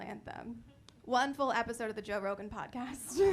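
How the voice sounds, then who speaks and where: Bright and sharp in tone, a woman with an American accent talks at a moderate pace in a high pitch with ordinary pitch variation, and audible room echo surrounds her voice. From Connecticut. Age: 20s. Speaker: stand-up comedian. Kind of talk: stand-up. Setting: comedy club stage with audience.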